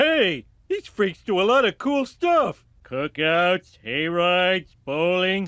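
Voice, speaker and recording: In a cartoonish character voice, a man talks at a very slow pace with a high pitch and hardly any pauses. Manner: goofy, blundering.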